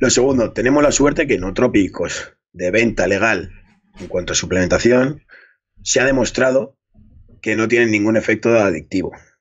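It's quiet behind a man as he talks. His pace is moderate and his pitch variation ordinary. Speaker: fitness coach. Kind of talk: interview answer. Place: home room. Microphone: studio mic.

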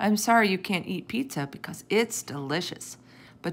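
Natural-voiced reading aloud, the intonation lively

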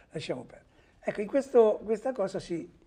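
A man's dark, mellow voice carries lively intonation. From Umbria, Perugia; Umbria. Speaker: journalist. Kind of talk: TV talk show interview. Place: studio. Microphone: lapel.

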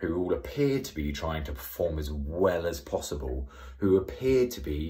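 Very deep and low in pitch, a man's voice shows vocal fry and ordinary pitch variation. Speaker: skateboarding commentator. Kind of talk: casual vlog chat. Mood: reflective, slightly sarcastic. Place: home room. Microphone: phone near.

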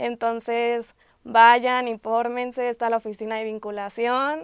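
Against a quiet background with a dry sound and no echo, a woman speaks at a fairly slow pace in a monotone, flat intonation. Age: 20s. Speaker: architecture student. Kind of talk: testimony. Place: studio.

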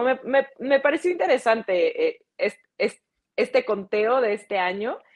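With lively intonation, a woman talks in a Mexican accent. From Mexico. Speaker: TV sports presenter. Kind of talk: casual sports talk show.

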